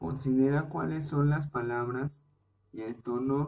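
A man's speech moves very slowly, his pitch varying in an ordinary way. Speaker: podcast host, parent. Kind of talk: solo informational podcast monologue. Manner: careful, deliberate; hesitant, with repetitions.

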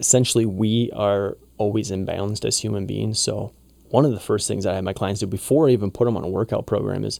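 Speaking at a fairly quick pace, a man with a fairly low pitch uses vocal fry. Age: 30s. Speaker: holistic lifestyle coach and math teacher. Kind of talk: casual chat.

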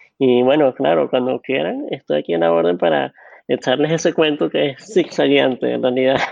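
Here a man speaks at a moderate pace with a medium pitch. His pitch swings very widely. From Venezuela. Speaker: data analytics director. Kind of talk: interview.

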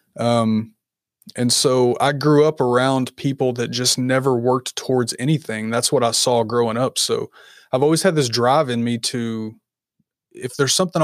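Recorded very cleanly against a silent background, a man with a slight Southern US accent talks at a moderate pace and a medium pitch. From Kentucky. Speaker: content creator and coach. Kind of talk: casual interview chat.

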